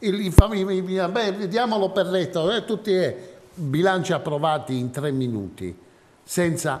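The speech moves at a very slow pace with ordinary pitch variation and light background noise. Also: man, high pitch for a man. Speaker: TV talk show host; guest, local politician. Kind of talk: moderated political debate. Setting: TV studio. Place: studio. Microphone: lapel.

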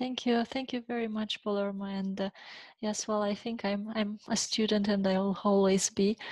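A woman with a Romanian accent at a moderate pace, monotone and flat, in a dry sound with no echo against a quiet background. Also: medium pitch for a woman. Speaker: leadership coach. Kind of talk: interview. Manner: halting, frequent repeated words. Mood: warm, smiling. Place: home room. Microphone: headset.

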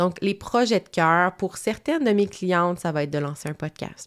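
In a very clean recording with a silent background, a woman with a Quebec accent talks at a fairly low pitch with ordinary pitch variation. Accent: Québécois French. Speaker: marketing coach and podcaster. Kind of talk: solo podcast talk. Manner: casual, conversational.

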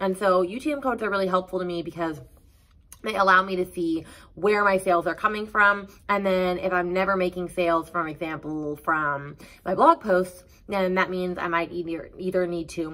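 Her tone is bright and sharp. The woman talks at a moderate pace with ordinary pitch variation. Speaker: online seller giving business tips. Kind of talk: tutorial. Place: home room.

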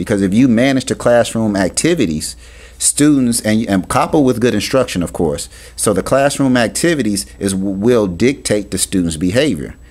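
A man with a normal speaking voice talks at a moderate pace with lively intonation and a fairly low pitch. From US Midwest, Cincinnati, Ohio. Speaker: author and education consultant. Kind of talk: radio interview.

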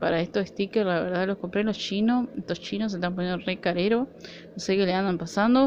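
The speaker talks at a fairly quick pace in an Argentine accent, with ordinary pitch variation. Light background noise is present. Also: woman. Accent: Argentine Spanish (Rioplatense). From Argentina. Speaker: nail art vlogger. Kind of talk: product haul video; casual haul vlog chat. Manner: casual, hesitant. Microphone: phone near.

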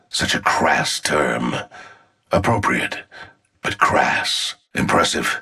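A man's put-on character voice, extremely low-pitched and slow, with lively intonation, a bright, sharp tone, vocal fry and a husky, rough edge

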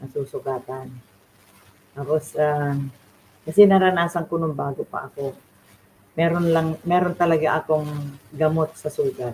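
In a Filipino accent, a woman with a very deep, low pitch speaks at a fairly slow pace, her intonation fairly even and her pauses long and frequent. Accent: Filipino (Tagalog). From Philippines. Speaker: beautician and faith livestreamer. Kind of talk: devotional livestream talk. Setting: livestream from home. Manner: halting, many fillers.

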